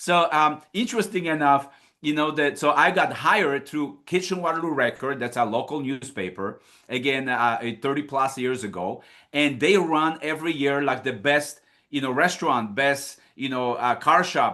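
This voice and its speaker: Speaking in a Polish accent, a man uses a fairly high pitch with a bright, sharp, energetic tone, ordinary pitch variation and a moderate pace. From Poland. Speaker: financial services business leader. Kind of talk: recruiting presentation.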